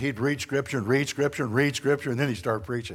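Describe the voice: Here is a man with a Northern American accent. His pitch sits in the medium range.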